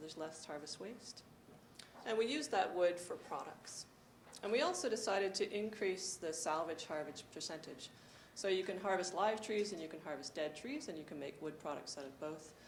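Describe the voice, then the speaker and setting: With a soft-spoken, medium-pitched voice, a woman talks at a moderate pace with lively intonation and big swings in loudness, amid audible room echo. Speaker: forest carbon researcher. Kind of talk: conference presentation. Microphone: handheld mic, held higher after being told too quiet.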